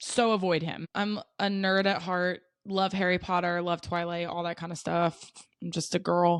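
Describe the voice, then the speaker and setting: Against a quiet background, a woman with an American accent speaks at a moderate pace in a fairly low, monotone, flat voice. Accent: mild Southern accent, stronger at times. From US South, South Carolina. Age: 20s. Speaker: vlogger. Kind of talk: casual chat.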